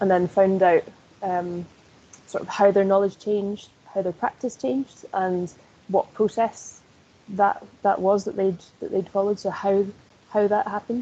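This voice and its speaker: A woman with a Scottish accent speaks at a moderate pace with fairly even intonation. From northeast Scotland. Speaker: sports coaching lecturer. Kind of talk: interview.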